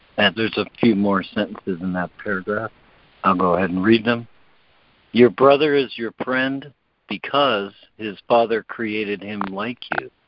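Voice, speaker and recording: Man with an ordinary speaking voice, fairly low pitch, ordinary pitch variation and a moderate pace. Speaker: conference call facilitator. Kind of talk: reading aloud and facilitating group call. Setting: phone call.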